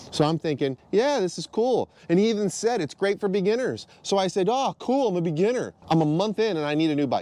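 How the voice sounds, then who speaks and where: A man with a dark, mellow tone and a high pitch talks at a fairly quick pace with lively intonation. There are hardly any pauses, and the sound is dry and close with no echo. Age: 40s. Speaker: dirt bike vlogger. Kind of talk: product review monologue. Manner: casual, blunt.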